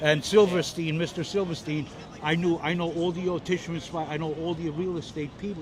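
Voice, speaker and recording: A man with a New York accent speaks very fast in a high pitch. His intonation is fairly even, and there is noticeable background noise. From New York City. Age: 60s. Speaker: retired aircraft mechanic and Air Force veteran. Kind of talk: street interview. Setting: outdoors. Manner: halting.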